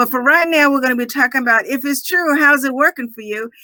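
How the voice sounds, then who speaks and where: A woman with a high pitch and a bright, sharp tone speaks in a raised, projected voice with ordinary pitch variation. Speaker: podcast network host. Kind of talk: live show interview. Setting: live video stream. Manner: loud.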